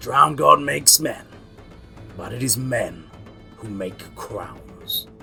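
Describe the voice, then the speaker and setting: A man in a put-on character voice, fairly slow with long, frequent pauses and big swings in loudness, with clear music in the background. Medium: read story.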